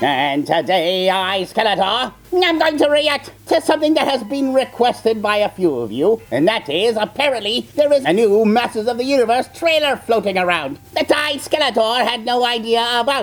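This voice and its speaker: A put-on character voice sits at a fairly high pitch and moves at a moderate pace. Light background noise can be heard. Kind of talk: character reaction video commentary. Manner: sarcastic, mocking.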